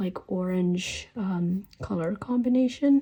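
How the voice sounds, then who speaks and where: Her voice has a dark, mellow tone and a medium pitch. This woman sounds somewhat breathy, with ordinary pitch variation. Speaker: stationery YouTuber. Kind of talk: casual product review. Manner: hesitant, many fillers.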